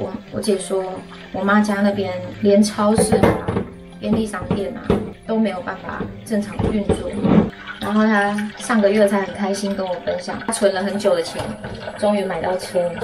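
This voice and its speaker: Loud music plays behind a woman who speaks at a moderate pace with long, frequent pauses. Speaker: vlogger. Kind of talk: casual vlog chat. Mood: subdued, sympathetic. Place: kitchen. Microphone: phone near.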